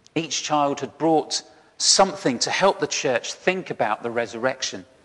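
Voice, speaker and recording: Speech unfolds at a moderate pace. Nothing stirs in the quiet background. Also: man. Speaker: church minister. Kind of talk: sermon. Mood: warm, gentle storytelling. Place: garden.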